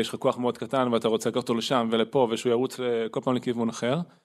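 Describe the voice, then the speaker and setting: A man talks at a very fast pace in a medium pitch. His intonation is monotone and flat. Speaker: podcast co-host. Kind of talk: casual chat.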